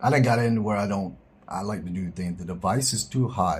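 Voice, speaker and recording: Somewhat breathy, the speaker talks at a moderate pace in an American accent with ordinary pitch variation. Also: man. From US South, South Georgia. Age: 50s. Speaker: live streamer. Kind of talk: casual chat. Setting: live stream.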